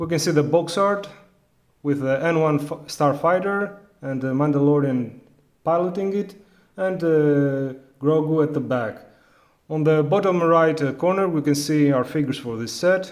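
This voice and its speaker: Audible room echo surrounds a man with a Greek accent who speaks at a fairly high pitch and a moderate pace. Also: ordinary pitch variation. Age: adult. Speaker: toy reviewer. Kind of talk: product review. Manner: halting, many fillers.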